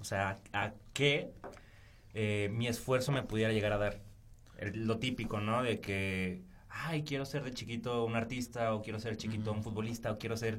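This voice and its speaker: A man with a medium pitch speaks at a moderate pace and fairly even intonation, with audible room echo. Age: 20s. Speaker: architect, podcast co-host. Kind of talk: casual chat.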